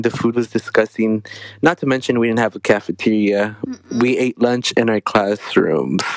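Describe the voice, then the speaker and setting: Speaking in an ordinary speaking voice with an American accent, a man keeps a medium pitch, fairly even intonation and a moderate pace, the sound dry and close with no echo. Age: 20s. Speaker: college student podcast host. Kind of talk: casual chat.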